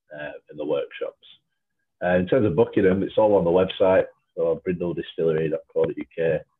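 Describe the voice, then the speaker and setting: With a Lancashire accent, a man talks at a moderate pace. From Lancashire, England. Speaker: gin distillery brand developer. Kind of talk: casual interview.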